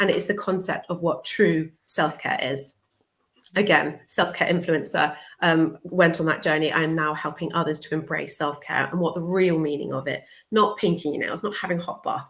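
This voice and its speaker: Speaking at a moderate pace with a British accent, a woman uses a fairly low pitch and fairly even intonation. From southern England. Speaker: social worker and life coach. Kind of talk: interview. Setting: live video show.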